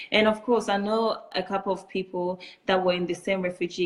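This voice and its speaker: With monotone, flat intonation, a woman speaks at a moderate pace in a fairly low pitch. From Chad. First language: French. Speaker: refugee, community founder. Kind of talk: interview.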